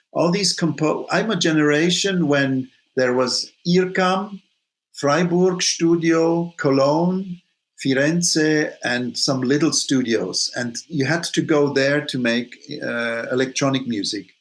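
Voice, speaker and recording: A very slow male voice with ordinary pitch variation. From Switzerland. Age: 60s. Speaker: saxophonist. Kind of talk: interview. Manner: halting.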